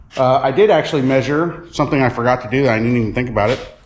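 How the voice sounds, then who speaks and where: A man with a medium-pitched voice speaks very fast with ordinary pitch variation, and audible room echo surrounds him. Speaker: auto mechanic and channel host. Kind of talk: workshop tutorial. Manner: casual, many fillers; loud.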